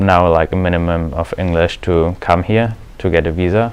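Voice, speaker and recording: The speaker has a German accent and talks at a moderate pace with fairly even intonation. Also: man. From Germany. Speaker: exchange student. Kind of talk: interview.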